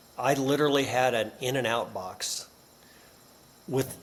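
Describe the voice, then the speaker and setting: There is noticeable background noise behind a man's voice. He has a medium pitch and a fairly slow pace. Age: 60s. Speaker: business author and professor. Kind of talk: podcast interview.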